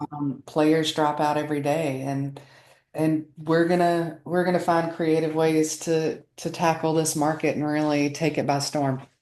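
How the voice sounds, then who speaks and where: With a slight Southern US accent, a woman speaks at a fairly slow pace in a very deep, low pitch, her tone dark and mellow and her intonation monotone and flat. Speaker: marketing executive. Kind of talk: interview.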